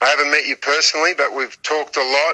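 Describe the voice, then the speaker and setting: Talking fairly quickly, a man speaks in an Australian accent. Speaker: western historian and author. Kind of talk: podcast interview.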